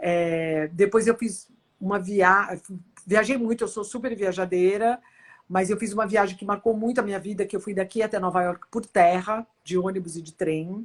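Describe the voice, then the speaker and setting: In an ordinary speaking voice, a woman at medium pitch talks at a moderate pace with fairly even intonation and big swings in loudness. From Brazil. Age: 60s. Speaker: futurist speaker. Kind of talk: interview.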